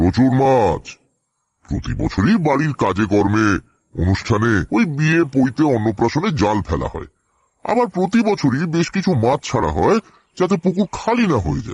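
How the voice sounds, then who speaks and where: Putting on a character voice, a man makes very wide pitch swings. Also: medium pitch for a man, moderate pace. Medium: audio drama. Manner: polite, earnest.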